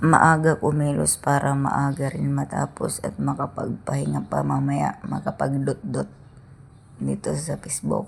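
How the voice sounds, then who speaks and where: A woman speaks at a fairly slow pace amid noticeable background noise. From Philippines, rural province. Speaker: vlogger. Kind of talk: casual vlog narration. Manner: casual, chatty.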